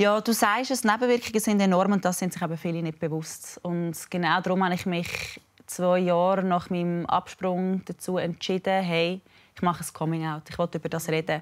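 A woman has an unremarkable speaking voice, fairly low in pitch, with fairly even intonation and a moderate pace. The background is quiet. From Switzerland. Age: 20s. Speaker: fitness influencer. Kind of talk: TV interview. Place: studio. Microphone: lapel.

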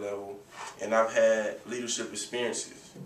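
The speaker has an American accent and keeps a moderate pace. Audible room echo and light background noise are present. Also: man. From US South, Raleigh, North Carolina; North Carolina. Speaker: college student. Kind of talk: class speech presentation. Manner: halting. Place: empty room. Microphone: camera far.

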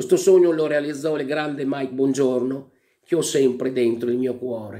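Against a quiet background, a man with a fairly high pitch and a dark, mellow tone talks at a fairly quick pace. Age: 50s. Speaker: comedian and impressionist; comedian. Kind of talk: award acceptance speech. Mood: emotional, grateful. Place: home room. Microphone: webcam.

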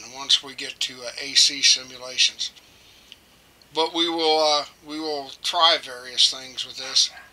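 Noticeable background noise sits behind a man with a fairly high pitch. He speaks at a fairly slow pace in a monotone, flat intonation. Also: big swings in loudness. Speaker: electronics hobbyist teacher. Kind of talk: tutorial. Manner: halting, many fillers; casual, friendly.

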